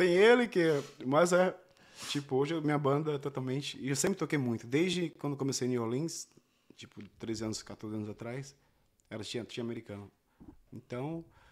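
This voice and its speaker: At a moderate pace, a man with a fairly high pitch uses lively intonation, big swings in loudness, and long, frequent pauses. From Pernambuco, Brazil (Recife area). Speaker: singer-songwriter. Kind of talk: interview. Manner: shy.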